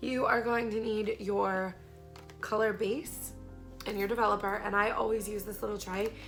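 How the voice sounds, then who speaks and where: Music plays in the background as a woman speaks at a fairly slow pace. Her pitch is fairly high and her intonation fairly even. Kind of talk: beauty tutorial talk to camera.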